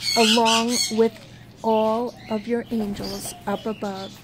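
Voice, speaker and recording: A woman with a fairly high voice is heard over noticeable background noise. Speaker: video creator reading fan mail. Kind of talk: reading aloud a sweet get-well poem from a fan card.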